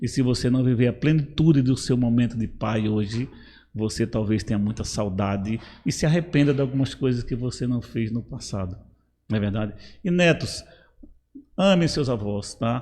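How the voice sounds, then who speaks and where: With a dark, mellow tone, this voice keeps a moderate pace and ordinary pitch variation. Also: man, medium pitch for a man. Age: 60s. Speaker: pastor. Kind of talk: advice talk in church podcast.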